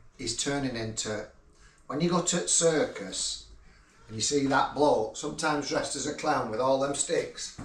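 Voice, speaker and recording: With a northern English accent, this voice moves at a moderate pace over noticeable background noise and audible room echo. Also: man. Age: 60s. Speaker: retired builder, father of the host. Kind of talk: casual chat.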